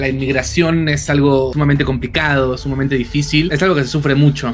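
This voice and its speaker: A man with an Argentine accent and a fairly high voice, over noticeable background noise. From Argentina. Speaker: voice actor. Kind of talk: interview answer.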